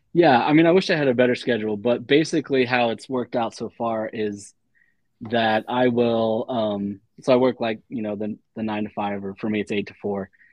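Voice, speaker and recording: A man with a Midwestern American accent talks at a fairly quick pace. His pitch is medium, with ordinary pitch variation. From Dayton, Ohio, US Midwest. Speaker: freelance illustrator. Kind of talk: casual chat.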